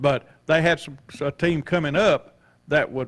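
The speech comes at a moderate pace. It is delivered in a Southern US accent. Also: man. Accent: Southern American. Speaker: retired school principal. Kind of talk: casual chat.

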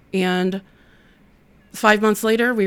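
Speaking at a moderate pace with a Midwestern American accent, a woman of medium pitch keeps a monotone, flat intonation in a very clean recording with a silent background. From Ohio (Toledo). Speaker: nonprofit outreach director. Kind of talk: interview testimony.

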